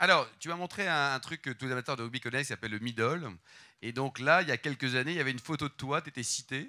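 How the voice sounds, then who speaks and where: The voice is bright and sharp, moving at a very fast pace. The recording is very clean, with a silent background. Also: man, medium pitch for a man, ordinary pitch variation. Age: 50s. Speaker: interviewer. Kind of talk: interview. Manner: casual.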